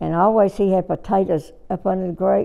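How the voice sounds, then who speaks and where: A woman with a Southern US accent speaks fairly slowly, keeping her intonation fairly even. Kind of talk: oral history interview answer.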